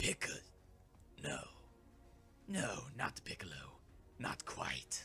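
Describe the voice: A put-on character voice in a hissing, sinister whisper, fairly slow, with long, frequent pauses.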